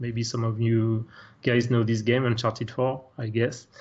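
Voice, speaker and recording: A man's medium-pitched voice with a French accent. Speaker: technical artist. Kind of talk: software tutorial.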